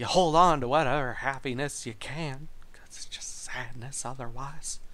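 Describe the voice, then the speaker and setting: With audible room echo, a man talks at a moderate pace in a fairly high, bright, sharp voice, his intonation fairly even but his loudness swinging widely. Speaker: podcast host. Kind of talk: casual monologue. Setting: home studio in living room.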